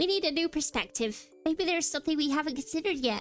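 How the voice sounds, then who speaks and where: A woman's put-on character voice, high-pitched and very fast, with clear music in the background. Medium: fan dub.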